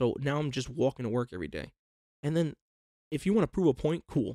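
Delivered at a very fast pace with ordinary pitch variation, the speech has a dry, close sound with no echo. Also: man. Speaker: podcast co-host. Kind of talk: casual chat. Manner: casual, joking.

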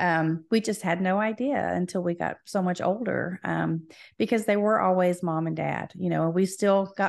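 Over a quiet background, a woman with an American accent uses an ordinary speaking voice at medium pitch with fairly even intonation. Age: 50s. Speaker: musician. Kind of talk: interview. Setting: video call.

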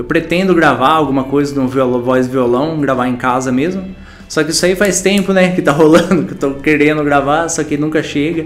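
Amid noticeable background noise and audible room echo, a man talks at a fairly quick pace in a fairly high pitch with ordinary pitch variation. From São Paulo state interior, Brazil. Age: 30s. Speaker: musician. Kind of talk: interview monologue. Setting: in front of a camera. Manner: halting, stammering.

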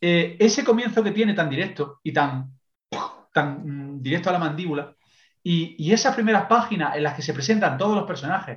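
This man speaks at a fairly quick pace with ordinary pitch variation. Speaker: podcast contributor, book reviewer. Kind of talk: casual chat. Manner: fast.

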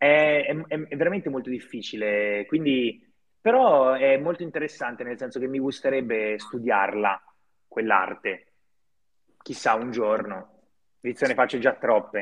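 Pausing long and often, a man speaks in a medium-pitched voice with ordinary pitch variation. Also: fairly slow pace. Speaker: actor and film producer. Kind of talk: casual interview.

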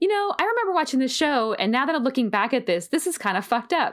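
A woman talks fairly quickly with lively intonation in a plain, everyday voice. The recording is very clean, with a silent background. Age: 30s. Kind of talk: casual chat. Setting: home recording in bedroom.

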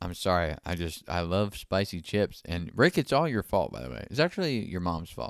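A man with a very deep, low voice and vocal fry speaks in an animated tone at a moderate pace, with very wide pitch swings and big swings in loudness. The recording is very clean, with a silent background and a dry, close sound with no echo. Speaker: podcast host. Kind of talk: casual comedic banter. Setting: recorded at home in a bedroom. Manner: animated, joking.

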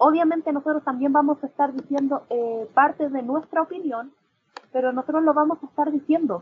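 A woman with a Chilean accent, a high pitch and a fairly quick pace. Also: ordinary pitch variation. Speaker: podcast co-host, law student. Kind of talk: casual chat.

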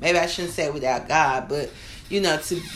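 A woman with a very deep, low pitch and vocal fry speaks with fairly even intonation, and room echo is audible. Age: 30s. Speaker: minister. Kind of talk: sermon.

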